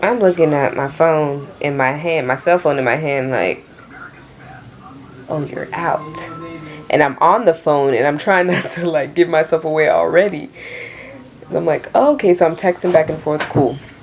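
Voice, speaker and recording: With music in the background, a woman with an American accent and a very deep, low pitch speaks with long, frequent pauses. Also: ordinary pitch variation, moderate pace. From Queens, New York. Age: 20s. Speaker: YouTuber. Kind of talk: casual storytime talk to camera.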